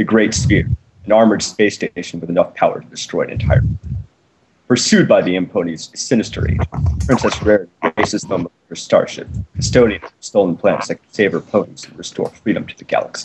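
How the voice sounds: A man's low-pitched voice with a husky, rough edge, a slightly mellow tone and a fairly quick pace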